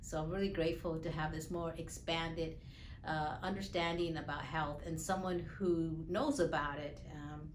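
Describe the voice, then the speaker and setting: With audible room echo, the speech moves at a moderate pace and keeps a fairly even intonation. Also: woman, fairly low pitch for a woman. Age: 60s. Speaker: patient. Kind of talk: testimony. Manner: halting, many fillers.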